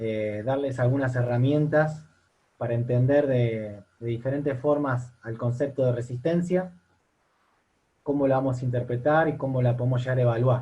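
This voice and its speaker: Long, frequent pauses break up a man's moderately paced speech, which has a medium pitch, a dark, mellow tone, a somewhat breathy quality and fairly even intonation. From Argentina. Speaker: university lecturer and fitness coach. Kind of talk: online seminar lecture. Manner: hesitant, repeats words.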